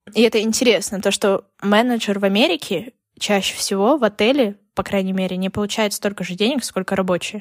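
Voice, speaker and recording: A plain, everyday voice from a woman, medium in pitch with ordinary pitch variation and a fairly quick pace. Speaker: former English teacher, emigrant to the US. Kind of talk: casual chat.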